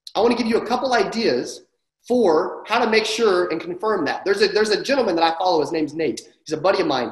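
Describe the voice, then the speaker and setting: Very wide pitch swings from a man, with audible room echo over a quiet background. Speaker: sales coach. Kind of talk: training talk to an online audience. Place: home room. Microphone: webcam.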